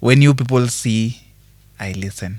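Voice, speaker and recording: A soft-spoken man with ordinary pitch variation. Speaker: singer. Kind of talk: interview answer.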